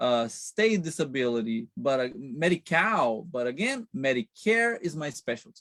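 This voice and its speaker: Speaking with a Brazilian accent and hardly any pauses, a man keeps a moderate pace at a fairly high pitch with very wide pitch swings, in a dry, close sound with no echo. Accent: Brazilian accent, noticeable. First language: Portuguese. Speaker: Medicare counselor. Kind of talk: interview. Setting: live stream.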